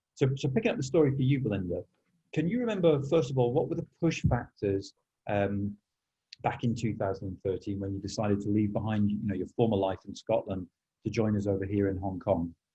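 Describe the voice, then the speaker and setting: A somewhat breathy man's voice, fairly low in pitch, at a fairly quick pace. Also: ordinary pitch variation. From northern England. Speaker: school podcast host. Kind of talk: podcast interview. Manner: halting.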